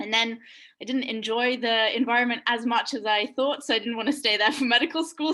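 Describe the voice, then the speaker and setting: Delivered at a very fast pace, the voice has a bright, sharp tone. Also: woman. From Russian family, schooled in England (Oxford) from age 11. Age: 20s. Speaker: medical student and education founder. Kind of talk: webinar discussion.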